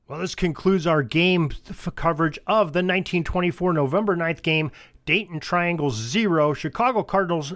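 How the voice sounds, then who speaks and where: A man's high-pitched voice with ordinary pitch variation at a fairly slow pace, very cleanly recorded against a silent background. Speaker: podcast host and producer. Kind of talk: podcast host introduction.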